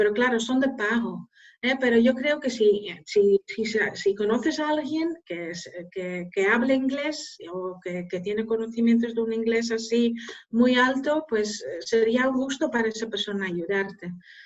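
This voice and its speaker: At a fairly slow pace, a woman with a Dutch accent talks with a fairly high pitch and ordinary pitch variation. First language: Dutch (speaking Spanish). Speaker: scientific journal editor. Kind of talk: Q&A after a lecture. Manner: hesitant, many fillers.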